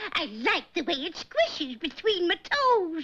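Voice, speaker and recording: The voice sounds female, a cartoonish character voice pitched extremely high. It moves at a fairly slow pace. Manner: chirpy, eager.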